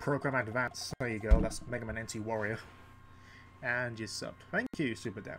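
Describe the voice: The tone is fairly bright and croaky. Intonation stays fairly even at a moderate pace. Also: man, fairly low pitch for a man.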